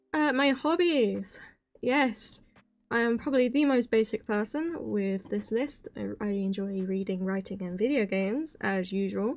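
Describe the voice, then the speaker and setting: A woman speaks shakily at a fairly slow pace. Her pitch is fairly high, and the background is quiet. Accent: British. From Britain. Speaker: vtuber streamer. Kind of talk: casual chat. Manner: shaky.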